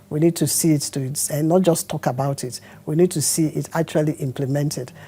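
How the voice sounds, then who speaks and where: Speaking at a fairly quick pace, a woman has a very deep, low pitch, a dark, mellow tone, somewhat breathy delivery and fairly even intonation. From Nigeria, Rivers State (Kalabari). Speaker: senator. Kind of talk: address to constituents in Kalabari; interview.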